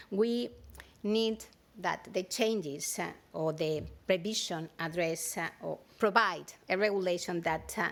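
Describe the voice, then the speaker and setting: A woman talks at a fairly low pitch with ordinary pitch variation. Her pace is fairly slow. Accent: Spanish. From Spain. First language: Spanish. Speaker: standards organization director. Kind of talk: keynote speech. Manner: hesitant, many fillers.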